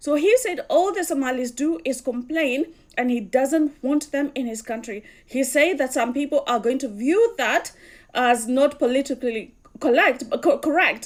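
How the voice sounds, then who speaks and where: Speaking at a fairly slow pace with a Kenyan accent, a woman uses a high voice and lively intonation. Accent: Kikuyu (Kenyan). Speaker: commentator. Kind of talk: casual commentary.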